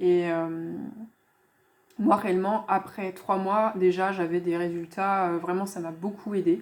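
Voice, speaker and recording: A woman's very slow speech with long, frequent pauses. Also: medium pitch for a woman, fairly even intonation. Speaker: language teacher / youtuber. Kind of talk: casual tutorial / app review. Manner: hesitant, many filler sounds (euh).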